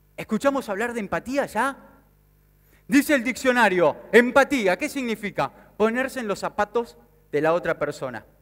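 A man with an Argentine accent speaks at a high pitch in an animated tone with lively intonation. His pace is moderate, with long, frequent pauses over a quiet background. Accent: Rioplatense Argentine Spanish. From Argentina, Mar del Plata. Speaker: sales speaker and business consultant. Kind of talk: motivational conference talk. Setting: stage with audience. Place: stage. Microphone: headset.

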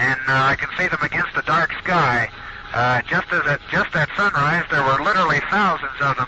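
Speaking with an American accent at a moderate pace, a man keeps his loudness very even in a dry sound with no echo, while noticeable background noise runs underneath. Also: ordinary pitch variation. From United States. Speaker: astronaut. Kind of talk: radio communication, live space mission. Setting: radio transmission from orbit. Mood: calm, amazed. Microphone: headset.

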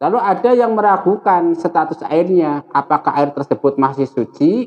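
The voice moves at a moderate pace with very wide pitch swings. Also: man. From Indonesia. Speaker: Islamic religious teacher. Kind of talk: religious lecture. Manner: casual. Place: home room. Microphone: lapel.

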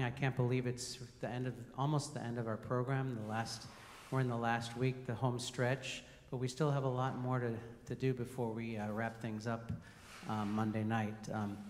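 A man's monotone, flat intonation over light background noise. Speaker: program host introducing a guest. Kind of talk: event welcome speech. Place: hall. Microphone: handheld.

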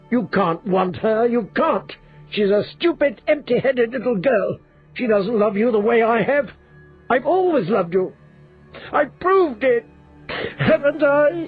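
In a put-on character voice, a man speaks shrill and at an extremely high pitch, with lively intonation and a moderate pace. Long, frequent pauses break it up while faint music plays in the background. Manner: shrill, jealous, ranting.

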